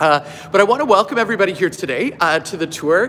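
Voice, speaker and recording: A man talking at a fairly quick pace over light background noise. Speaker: campus tour guide. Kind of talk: casual live-stream tour commentary. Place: gym. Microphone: phone near.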